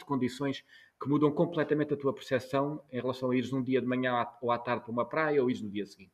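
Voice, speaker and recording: A man's voice at a medium pitch. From Portugal, Algarve. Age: 40s. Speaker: journalist. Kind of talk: interview. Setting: video call. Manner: halting, many repetitions.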